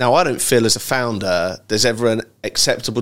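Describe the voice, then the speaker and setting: A man with an English accent and fairly even intonation at a moderate pace, on a very clean recording with a silent background. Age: 40s. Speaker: ecommerce startup founder. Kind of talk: casual interview chat.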